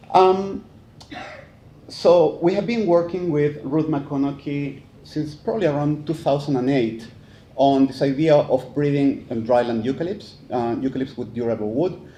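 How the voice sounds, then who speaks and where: A Chilean accent in a dark, mellow tone, moderate in pace with ordinary pitch variation and audible room echo. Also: man, fairly high pitch for a man. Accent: Chilean Spanish accent, noticeable. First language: Spanish. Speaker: forestry professor. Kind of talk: conference talk. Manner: hesitant, many fillers.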